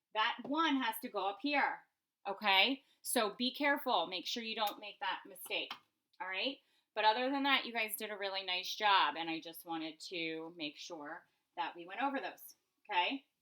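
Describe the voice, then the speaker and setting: A woman's medium-pitched voice with a bright, sharp tone, lively intonation and big swings in loudness. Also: moderate pace. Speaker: elementary school teacher. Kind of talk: remote math lesson for students. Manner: casual, frequent fillers.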